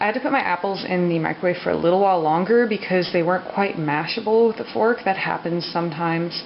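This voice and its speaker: The voice is quiet. Noticeable background noise runs underneath. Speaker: vlogger. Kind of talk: cooking tutorial. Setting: home kitchen at night. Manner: speaking quietly; casual, hesitant with fillers.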